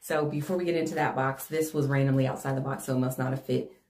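A somewhat breathy voice with fairly even intonation carries audible room echo and light background noise. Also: woman. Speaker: haul vlogger. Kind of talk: casual vlog chat. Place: home room.

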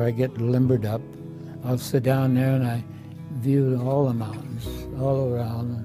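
With music in the background, a man speaks in an American accent at a medium pitch with ordinary pitch variation. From Iowa, USA. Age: 80s+. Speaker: retired Navy veteran, nursing home resident. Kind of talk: testimonial interview answer.

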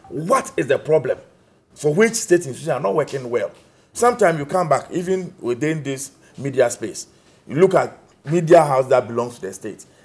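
Very wide pitch swings at a fairly quick pace, with a Ghanaian accent. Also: man, fairly high pitch for a man. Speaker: political party official; guest. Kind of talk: political panel debate. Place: studio.

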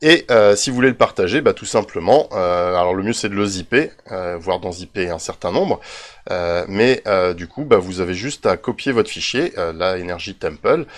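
A man with a fairly low voice speaks at a moderate pace, his intonation lively. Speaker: Minecraft YouTuber. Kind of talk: tutorial. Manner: hesitant, many fillers.

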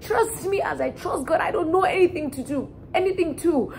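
An extremely high-pitched woman at a fairly quick pace, with ordinary pitch variation over light background noise. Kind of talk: storytelling vlog. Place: home room. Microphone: camera far.

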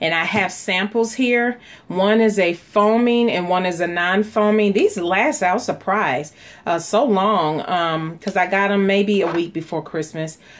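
A woman talks at medium pitch and a moderate pace with ordinary pitch variation. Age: 40s. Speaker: beauty vlogger and small business owner. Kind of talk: casual vlog tutorial.

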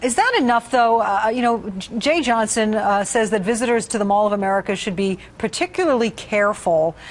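Over noticeable background noise, a woman talks at a fairly quick pace with hardly any pauses, fairly high pitch, ordinary pitch variation and very even loudness. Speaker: TV news anchor. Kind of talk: TV news interview questions.

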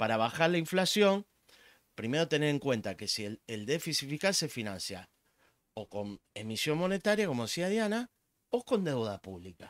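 A man with a Rioplatense accent speaks at a moderate pace in a fairly high voice, with very wide pitch swings. The sound is dry with no echo, and the background is quiet. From Argentina. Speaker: economist; guest. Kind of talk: casual chat. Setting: live stream. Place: home room. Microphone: studio mic.

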